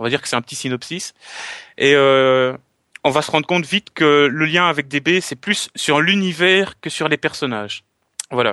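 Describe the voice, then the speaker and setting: A man with a Belgian accent speaks at a fairly high pitch in a bright, sharp tone, with ordinary pitch variation and long, frequent pauses, recorded dry and close with no echo against a quiet background. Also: moderate pace. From Belgium. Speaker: collector and video maker. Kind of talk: casual chat.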